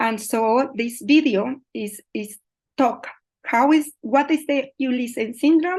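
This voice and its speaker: In a Colombian accent, a woman speaks fairly slowly with ordinary pitch variation over a quiet background. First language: Spanish. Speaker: migrant mental health researcher. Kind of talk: online presentation. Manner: halting.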